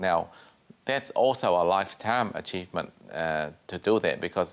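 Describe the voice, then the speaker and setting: A man with a Vietnamese accent, fairly low in pitch, at a moderate pace. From Vietnam, living in New Zealand. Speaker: TV show host and real estate agency owner. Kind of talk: talk show host, interview and sign-off.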